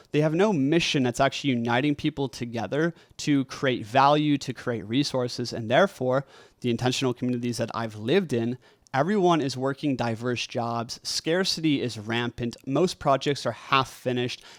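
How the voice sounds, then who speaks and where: The voice is shaky, at a moderate pace with ordinary pitch variation. The recording is very clean, with a silent background and a dry, close sound with no echo. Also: man, medium pitch for a man. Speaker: podcast host and community entrepreneur. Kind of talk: monologue lecture to camera. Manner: casual, filler-heavy.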